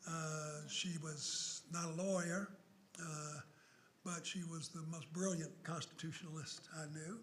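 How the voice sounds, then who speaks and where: A man's high voice is heard with audible room echo. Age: 70s. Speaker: law professor. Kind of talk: public lecture. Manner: animated.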